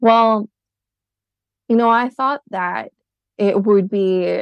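At a fairly slow pace, a woman talks in a normal speaking voice with ordinary pitch variation. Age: 30s. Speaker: podcast guest discussing couple's finances. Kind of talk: casual interview conversation.

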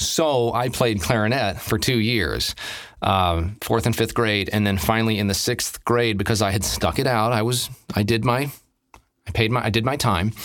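A man's plain, everyday voice at a medium pitch, moderate pace, ordinary pitch variation and very even loudness. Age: 50s. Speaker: drummer and voice actor. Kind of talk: casual chat.

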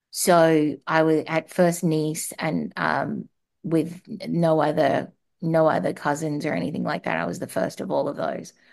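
Here a woman speaks with an Australian accent. Her pace is fairly slow. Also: quiet background. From Australia (Darwin). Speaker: marketing executive and transplant survivor. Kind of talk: interview testimony. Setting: remote call.

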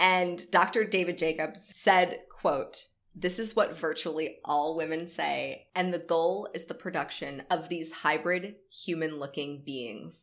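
Using an American accent, a woman with a fairly low pitch and vocal fry speaks at a fairly slow pace with ordinary pitch variation and big swings in loudness. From North Florida. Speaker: podcast co-host. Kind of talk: reading aloud; casual chat. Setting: in person at own home.

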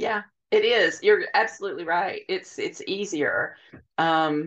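Against a quiet background, a woman speaks with an Alabama accent. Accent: US Southern (Alabama). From rural Alabama. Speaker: novelist. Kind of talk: casual interview.

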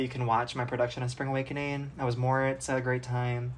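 The voice carries an American accent at a fairly quick pace. Noticeable background noise runs underneath. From Minnesota. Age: 20s. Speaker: actor, guest co-host. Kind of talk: casual chat.

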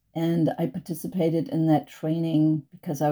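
In a German accent, a woman speaks at a moderate pace with a very deep, low pitch, a dark, mellow tone and monotone, flat intonation, on a very clean recording with a silent background. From Germany, North Sea island. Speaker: educator and climate activist. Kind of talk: interview answers. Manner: halting.

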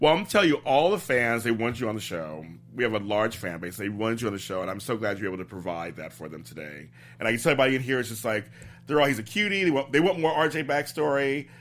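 Talking at a very fast pace, a man at medium pitch makes very wide pitch swings and big swings in loudness. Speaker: interviewer host. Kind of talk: casual interview.

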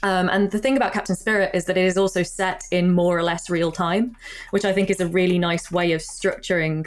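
A woman speaks at a fairly quick pace in a plain, everyday voice, medium in pitch, with fairly even intonation and very even loudness. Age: 30s. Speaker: games journalist. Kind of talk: casual chat.

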